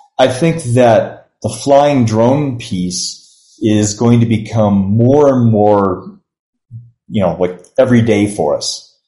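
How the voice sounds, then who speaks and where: Very slow in pace, a man speaks at a medium pitch with a dark, mellow tone. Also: ordinary pitch variation. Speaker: university provost. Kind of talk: interview.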